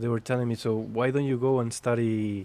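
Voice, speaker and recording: A man with a Spanish accent, medium pitch and a fairly quick pace. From Spain. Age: 30s. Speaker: jazz pianist and educator. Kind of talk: casual chat.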